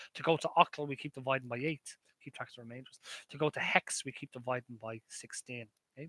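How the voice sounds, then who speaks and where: A man with an Irish accent at very fast pace, medium in pitch, bright and sharp in tone, fairly even in intonation, with big swings in loudness and a dry, close sound with no echo. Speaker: maths lecturer. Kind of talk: live stream chat with viewers; online lecture. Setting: live stream. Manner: halting.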